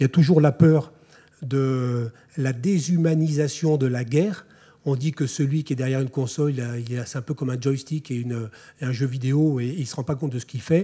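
A man speaks in a dark, mellow tone, somewhat breathy, with fairly even intonation. The background is quiet. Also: moderate pace. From France. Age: 40s. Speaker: army officer. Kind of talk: lecture. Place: hall. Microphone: podium.

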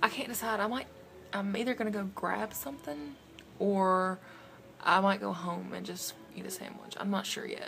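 Using a Southern US accent, a woman talks at medium pitch and a moderate pace, with ordinary pitch variation and long, frequent pauses. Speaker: vlogger. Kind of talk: casual vlog. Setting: in a car.

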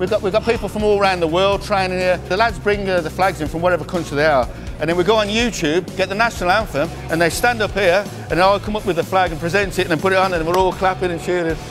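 Over clear background music, a man with a high voice speaks very fast with fairly even intonation. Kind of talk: casual tour commentary. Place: gym. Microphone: lapel.

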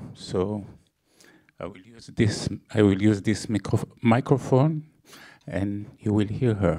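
Against a quiet background, a man speaks at a very slow pace in a fairly low voice with ordinary pitch variation. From Israel. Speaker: film producer. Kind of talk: stage introduction. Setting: stage with audience. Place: hall. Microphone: handheld.

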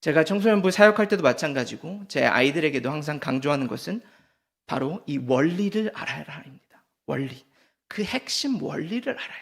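A man speaks with big swings in loudness, a fairly high pitch, and very wide pitch swings. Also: moderate pace. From Seoul and Gyeonggi area, South Korea. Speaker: pastor. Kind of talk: sermon. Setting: church.

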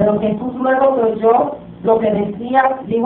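There is audible room echo as a woman speaks at a fairly slow pace in a fairly high pitch with ordinary pitch variation. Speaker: preacher. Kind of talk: sermon, scripture reading aloud. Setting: church. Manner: fervent, call-and-response style. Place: church. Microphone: camera far.

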